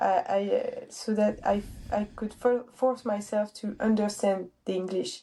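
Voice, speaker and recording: A woman with a French accent speaks at a fairly slow pace in a fairly high pitch, her tone dark and mellow and her pitch variation ordinary. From France. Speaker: streetlifting athlete and coach. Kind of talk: casual interview chat.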